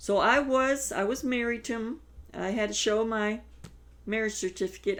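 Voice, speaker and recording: A woman talks at a moderate pace in an American accent. Her pitch is fairly high, with ordinary variation. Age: 60s. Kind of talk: testimony. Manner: halting.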